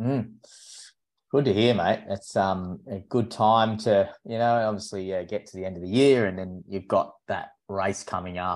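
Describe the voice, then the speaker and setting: A man speaks with an Australian accent at a moderate pace against a quiet background. His pitch sits fairly low, and his intonation stays fairly even. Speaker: running podcast co-host and running coach. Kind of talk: casual chat. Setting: remote recording with guest.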